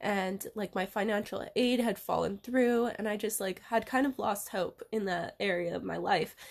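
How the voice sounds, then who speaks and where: A woman with an unremarkable speaking voice speaks at a moderate pace and medium pitch, with fairly even intonation and hardly any pauses. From US West, Reno, Nevada. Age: 20s. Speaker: yoga and hula hoop dance teacher. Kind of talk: casual chat.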